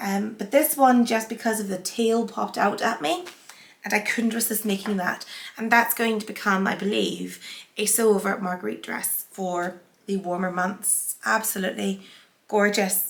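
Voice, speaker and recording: Medium pitch, moderate pace and fairly even intonation from a woman with a Northern Irish accent. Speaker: sewing vlogger. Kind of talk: casual haul vlog.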